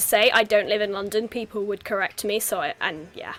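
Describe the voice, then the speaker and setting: Someone with a southern English accent talks at a fairly quick pace while music plays in the background. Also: woman. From southeast England, home counties. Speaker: stream host. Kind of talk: casual chat.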